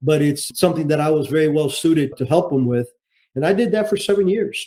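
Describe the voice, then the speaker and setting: A man with a Cuban-American accent speaks very fast in a fairly high pitch with ordinary pitch variation. His voice is somewhat breathy, with a dark, mellow tone. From Cuba, raised in Miami. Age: 70s. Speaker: retired intelligence officer and author. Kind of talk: interview. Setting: podcast interview.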